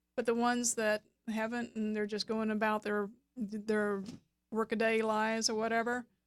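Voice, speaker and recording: In a Southern US accent, the speaker talks at a fairly slow pace. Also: woman. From US South, South Georgia. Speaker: web designer and business coach. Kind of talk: radio interview.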